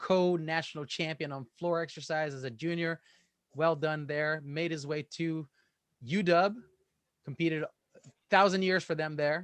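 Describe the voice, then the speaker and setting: With a quiet background, a man at a fairly high pitch speaks at a moderate pace with fairly even intonation. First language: not English. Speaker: gymnastics coach and meet commentator. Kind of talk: casual chat; live sports commentary.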